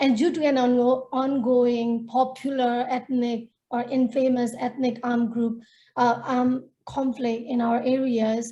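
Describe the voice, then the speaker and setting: A woman's high-pitched voice with a dark, mellow tone, in a Nepali accent, at a fairly slow pace with monotone, flat intonation and very even loudness. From Myanmar, northern Shan State. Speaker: feminist activist and storyteller. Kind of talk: webinar panel talk.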